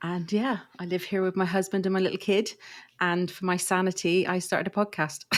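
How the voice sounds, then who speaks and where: A woman speaks with an English accent at a fairly quick pace, her intonation flat and monotone. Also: medium pitch for a woman. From England. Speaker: podcaster. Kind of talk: casual chat.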